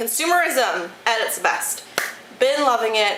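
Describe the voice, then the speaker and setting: With an American accent, a woman speaks with lively intonation. Noticeable background noise and audible room echo surround her. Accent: Michigan accent, shows at times. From Detroit, Michigan. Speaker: beauty YouTuber. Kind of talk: casual product review vlog. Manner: animated, enthusiastic.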